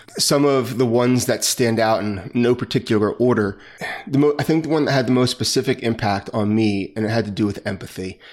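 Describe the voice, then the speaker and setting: In an American accent, a man with a normal speaking voice talks at a fairly quick pace and a medium pitch. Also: ordinary pitch variation. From New Jersey. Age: 40s. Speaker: retired police officer. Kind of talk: interview.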